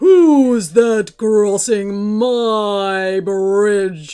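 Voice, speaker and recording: A bellowing put-on character voice comes through. Its pitch is fairly high. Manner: angry, roaring.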